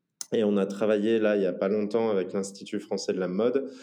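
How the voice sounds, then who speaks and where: A man speaks at a fairly low pitch with a dark, mellow tone. His pace is fairly quick. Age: 30s. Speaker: entrepreneur. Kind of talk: interview. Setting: remote call. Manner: halting, many fillers.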